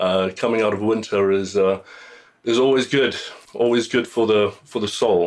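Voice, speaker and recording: A man with a slight South African accent talks at a moderate pace and medium pitch. His loudness stays very even and his intonation fairly even. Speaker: singer-songwriter. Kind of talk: radio interview. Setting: radio studio. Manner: halting, many fillers.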